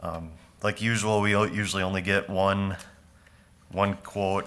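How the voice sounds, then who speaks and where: A loud man with an Upper Midwest accent, very deep, low pitch, bright, sharp tone, monotone, flat intonation and a fairly slow pace. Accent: Upper Midwest (Minnesota). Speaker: county parks and forestry staff presenting to board. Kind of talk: public meeting presentation. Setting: county board meeting room.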